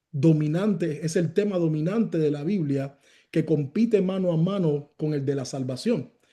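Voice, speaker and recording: Loud and fairly slow, a man speaks with a dark, mellow tone, high pitch for a man, and ordinary pitch variation. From Cuba. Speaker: pastor. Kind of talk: sermon. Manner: loud, raises voice.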